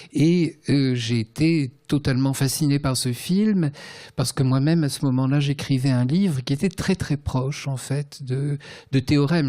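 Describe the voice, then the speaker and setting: At a fairly slow pace, a man speaks with a dark, mellow tone and a medium pitch. His loudness holds very even, and his pitch varies in an ordinary way. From Tunisia, then France from about age 10. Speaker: writer and translator. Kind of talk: literary conversation. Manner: hesitant, many fillers.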